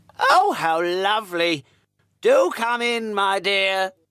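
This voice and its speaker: Pitched in the middle, a put-on character voice unfolds at a very slow pace. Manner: feigned sweetness.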